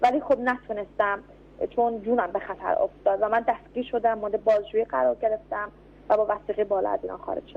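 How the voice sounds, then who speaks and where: Talking very fast, a woman uses a fairly high pitch that varies in an ordinary way. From Iran. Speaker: political activist. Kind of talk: radio interview.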